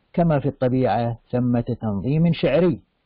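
A man talks at a fairly slow pace with lively intonation. His is a plain, everyday voice. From Iraq. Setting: video call. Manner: formal.

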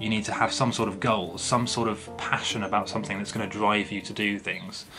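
Over clear background music, a man talks at a fairly quick pace in a fairly low pitch. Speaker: lucid dreaming channel host. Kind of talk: tutorial. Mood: earnest, serious. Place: home room. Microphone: webcam.

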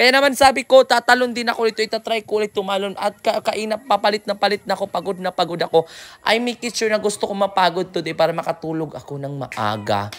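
The delivery is animated and very fast. Hardly any pauses break it up. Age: 20s. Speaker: travel vlogger, tour guide. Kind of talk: travel vlog narration. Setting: outdoors.

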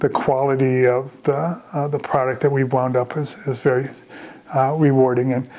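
With a dark, mellow tone and an American accent, a man speaks at a moderate pace in a monotone, flat intonation. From US Midwest, Chicago suburbs; Illinois. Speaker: vineyard owner and winemaker. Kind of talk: reflective oral-history life story, looking back on the vineyard years. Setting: on location at the vineyard. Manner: warm and contented. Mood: reflective, calm. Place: home room.

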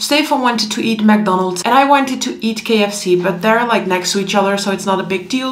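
Her speaking pace is fairly quick. The woman's pitch moves up and down by a normal amount. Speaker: vlogger. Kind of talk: casual vlog chat. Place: home room.

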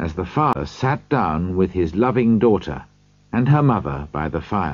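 Someone reads aloud in a natural voice.

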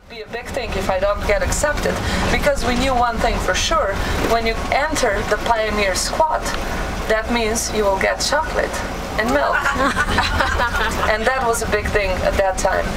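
Someone with a Slovene accent speaks at a moderate pace over loud background noise. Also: woman. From Slovenia. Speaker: tour guide. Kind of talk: casual talk to a tour group. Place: bus.

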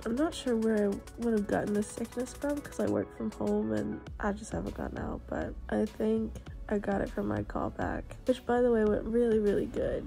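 A woman at a moderate pace over faint background music. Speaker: vlogger, actress. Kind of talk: casual vlog chat. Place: home room. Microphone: phone near.

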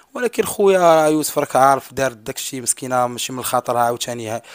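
A man talks at a fairly quick pace, the sound dry with no echo and the background quiet. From Morocco. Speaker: brother of missing woman, content creator; content creator. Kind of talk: interview testimony. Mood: earnest, sorrowful. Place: home room. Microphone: handheld.

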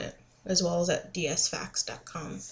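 The woman's voice is somewhat breathy. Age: 20s. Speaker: vlogger. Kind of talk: casual vlog monologue. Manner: hesitant with many fillers. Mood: relaxed, informative. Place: home room. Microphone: webcam.

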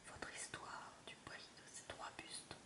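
A woman whispers while noticeable background noise fills the recording. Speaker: ASMR reader. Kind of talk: whispered audiobook-style story reading. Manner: whispered, soft, slow.

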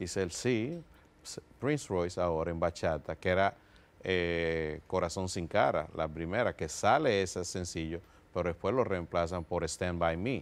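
A man talks at a fairly slow pace. His pitch is very deep and low, with ordinary variation. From Dominican Republic and New York. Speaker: music producer and executive; guest. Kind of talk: interview. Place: studio. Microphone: lapel.

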